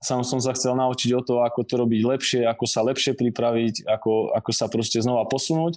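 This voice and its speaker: A man with a medium pitch, a flat monotone and a fairly quick pace, against a quiet background. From southern Slovakia, Rimavská Sobota. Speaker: strength and conditioning coach. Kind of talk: interview conversation.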